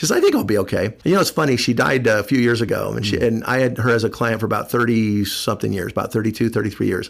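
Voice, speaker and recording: A man's very fast delivery with hardly any pauses, vocal fry, medium pitch and ordinary pitch variation. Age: 60s. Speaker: financial planner, radio host. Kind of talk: casual radio talk. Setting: studio.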